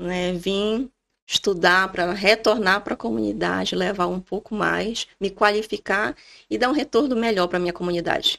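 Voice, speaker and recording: A woman with a normal speaking voice talks at a moderate pace and a medium pitch, with ordinary pitch variation, on a very clean recording with a silent background. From Brazil, Amapá. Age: 30s. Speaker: doctor. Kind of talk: podcast conversation.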